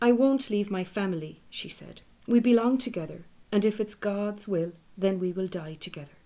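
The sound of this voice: The reading is done in an unforced reading voice with ordinary pitch variation.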